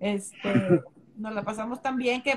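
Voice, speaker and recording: The speaker is a woman with a fairly high pitch. Her voice is somewhat breathy, with fairly even intonation. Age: 30s. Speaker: dance and Zumba instructor. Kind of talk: casual chat. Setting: Instagram live video stream.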